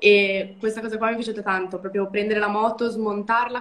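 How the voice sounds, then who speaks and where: At a moderate pace, a woman with a medium pitch speaks in a monotone, flat intonation. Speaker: motorcycle mechanic student; guest. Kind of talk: casual interview. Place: home room. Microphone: video call.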